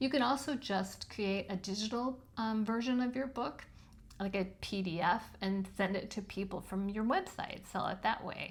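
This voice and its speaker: A woman speaks at a moderate pace in a medium pitch, somewhat breathy, with ordinary pitch variation. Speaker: self-published author and video host. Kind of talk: tutorial. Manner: casual with frequent filler ums.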